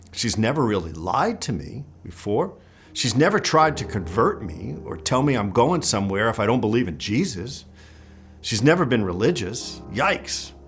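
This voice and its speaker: A medium-pitched male voice at a moderate pace, with very wide pitch swings, audible room echo and music in the background. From New York City and northern New Jersey. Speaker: testimony speaker. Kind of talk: testimony.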